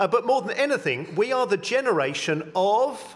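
The speaker talks at a fairly slow pace with an English accent. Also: man. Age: 50s. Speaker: vicar. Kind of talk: sermon. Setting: church.

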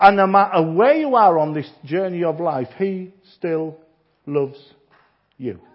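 A man with a Yorkshire accent speaks at a high pitch with ordinary pitch variation. His pace is fairly slow, with long, frequent pauses. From Yorkshire, northern England. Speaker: visiting preacher. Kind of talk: sermon. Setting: church.

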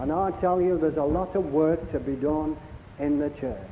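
Noticeable background noise sits behind a man speaking at a fairly slow pace. His pitch varies in an ordinary way. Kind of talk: sermon. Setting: church. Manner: warm, conversational preacher's patter with rhetorical tag questions.

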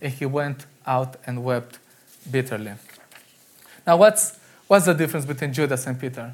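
A man at a moderate pace, somewhat breathy, with lively intonation, big swings in loudness and long, frequent pauses. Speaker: preacher. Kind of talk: sermon. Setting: church. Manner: halting, with repeated words and fillers.

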